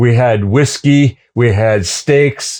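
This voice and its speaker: With a Canadian accent, a man talks at a very slow pace. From western Canada (Kamloops, British Columbia), early childhood in Switzerland. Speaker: tour guide and cook, former carpenter. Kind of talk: casual interview storytelling. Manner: animated, halting with many fillers and restarts.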